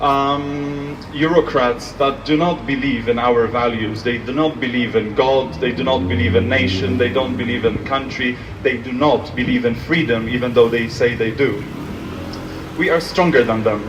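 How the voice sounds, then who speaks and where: With a Polish accent, a man talks at a moderate pace and medium pitch with ordinary pitch variation, amid audible room echo and noticeable background noise. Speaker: speaker at commemoration. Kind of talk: public speech.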